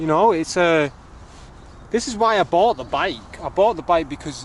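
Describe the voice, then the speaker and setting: Loud and animated, a man speaks in a high voice at a moderate pace with lively intonation. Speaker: vlogger reviewing a folding bike. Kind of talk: casual vlog while cycling outdoors. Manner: animated, rambling.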